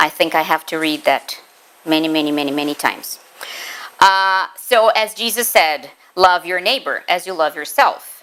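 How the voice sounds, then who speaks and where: A woman's fairly low, bright and sharp voice in a Portuguese accent, with lively intonation at a moderate pace. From Brazil. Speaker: spiritist lecturer, teacher. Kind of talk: lecture.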